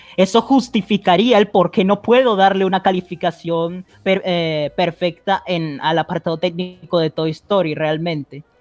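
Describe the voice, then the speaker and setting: Fairly slow pace with hardly any pauses. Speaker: online video critic. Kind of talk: casual debate.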